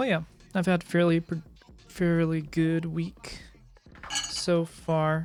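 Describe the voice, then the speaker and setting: Over background music, a woman speaks very slowly at a fairly low pitch with fairly even intonation and long, frequent pauses. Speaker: streamer. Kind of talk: casual chat. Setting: live stream.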